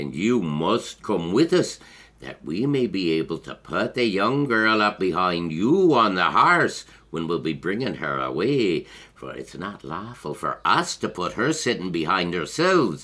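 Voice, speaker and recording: On a very clean recording with a silent background, a man uses a put-on character voice at a fairly low pitch and a moderate pace. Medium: read story.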